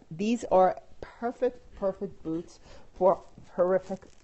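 A woman speaks in a New York accent at a fairly slow pace. Her tone is animated. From Brooklyn, New York. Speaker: fashion and style vlogger. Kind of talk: casual chat. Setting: live video stream on phone. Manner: chatty, animated.

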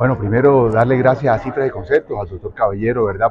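Noticeable background noise sits behind a man's voice. He talks fairly quickly with fairly even intonation. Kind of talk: interview answer. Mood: grateful, pleased. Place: hall. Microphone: handheld.

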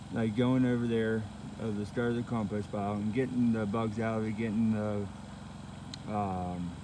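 In a rural Pennsylvania accent, a man with a fairly low pitch speaks at a moderate pace in a monotone, flat intonation, leaving long, frequent pauses, with a dry sound with no echo and noticeable background noise. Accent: Pennsylvania rural American. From south central Pennsylvania. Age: 30s. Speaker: hobby farmer vlogger. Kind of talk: casual vlog monologue. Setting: outdoors. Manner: halting, with frequent restarts and fillers. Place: farm. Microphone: phone near.

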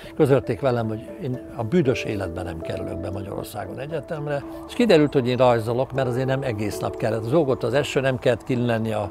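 A man talks at a very fast pace with lively intonation. The sound is dry with no echo, and music is clearly heard in the background. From Hungary. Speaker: animated film director. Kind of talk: interview answer. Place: garden. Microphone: lapel.

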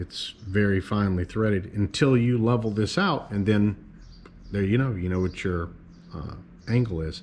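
A man speaks at a fairly slow pace in a fairly low, somewhat breathy voice. His pitch variation is ordinary. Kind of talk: casual show-and-tell commentary. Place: workshop.

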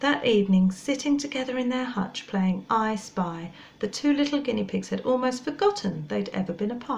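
The voice is plain reading aloud, carried by lively intonation.

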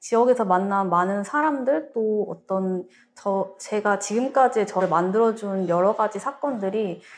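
This is a plain, everyday voice. A woman speaks at medium pitch. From Gwangju, South Korea. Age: 30s. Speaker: local content entrepreneur. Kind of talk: panel discussion. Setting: studio.

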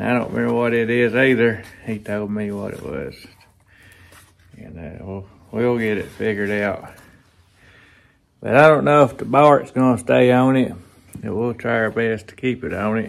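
With big swings in loudness and long, frequent pauses, a man talks at a moderate pace with ordinary pitch variation. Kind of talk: casual vlog chat. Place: workshop. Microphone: lapel.

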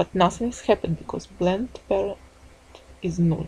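A woman with a non-native accent. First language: not English. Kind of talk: tutorial. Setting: screen recording voiceover. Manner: halting, apologetic.

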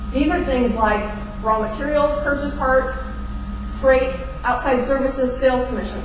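Audible room echo and clear background noise surround a woman speaking at a high pitch.

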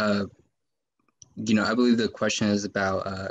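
Speaking in an American accent, a man with a fairly low pitch talks at a moderate pace with monotone, flat intonation. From San Antonio, Texas; Texas. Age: 20s. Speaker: city council candidate, student; council candidate. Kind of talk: candidate forum debate. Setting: video call. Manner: halting, many fillers. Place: home room. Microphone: webcam.

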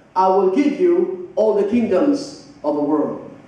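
A man with lively intonation, in strong room echo. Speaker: preacher. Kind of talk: sermon. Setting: church with congregation. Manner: animated, conversational preaching with call-and-response; repeats phrases and asks the congregation rhetorical questions. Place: church.

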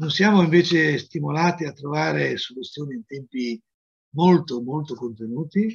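A somewhat breathy man's voice, fairly high in pitch, at a moderate pace with big swings in loudness over a quiet background. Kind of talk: welcome speech. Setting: video call. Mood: grateful, calm. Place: home room. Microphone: webcam.

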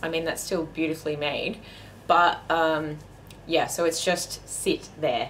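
There is light background noise behind this woman. She has a bright, sharp tone and an Australian accent. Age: 30s. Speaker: fashion vlogger. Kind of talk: casual haul video talk. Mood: upbeat, enthusiastic. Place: home room. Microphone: camera far.

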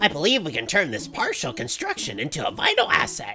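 This put-on character voice sits at a middle pitch and moves at a fairly quick pace. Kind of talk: let's play commentary, reading game text aloud. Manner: nerdy and kooky.

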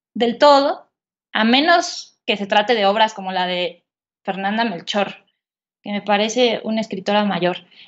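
A woman talks with very wide swings in pitch. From rural central Mexico, Estado de México–Querétaro border. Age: 30s. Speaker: writer and journalist. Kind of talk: interview conversation. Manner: hesitant with fillers and repetitions.

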